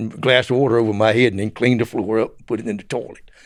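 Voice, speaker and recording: A man's medium-pitched voice with a Southern US accent. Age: 70s. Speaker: former drug smuggler. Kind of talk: interview storytelling.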